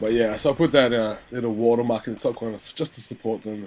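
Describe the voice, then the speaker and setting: A man with an Australian accent rattles along at a very fast pace. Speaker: gaming commentator. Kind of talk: gameplay commentary. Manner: casual, rambling with filler words.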